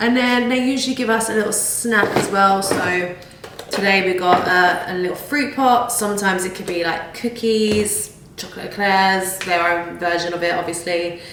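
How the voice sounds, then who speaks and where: There is noticeable background noise and audible room echo as a woman with a British accent speaks at a medium pitch. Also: ordinary pitch variation, moderate pace. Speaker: fitness and lifestyle vlogger. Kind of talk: vlog.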